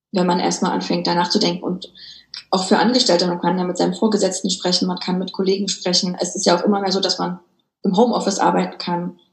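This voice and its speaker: A woman at a very fast pace in a monotone, flat intonation. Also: medium pitch for a woman. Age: 30s. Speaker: author and business coach. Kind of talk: interview.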